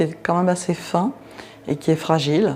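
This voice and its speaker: A woman speaks with a fairly low pitch. Her tone is dark and mellow. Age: 60s. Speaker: art restorer. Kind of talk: interview testimony. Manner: hesitant, many fillers.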